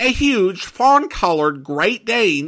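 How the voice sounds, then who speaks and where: Using very wide pitch swings and a bright, sharp tone, a man with an American accent speaks at a very slow pace. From Boise, Idaho. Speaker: podcast host. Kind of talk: podcast intro and commentary.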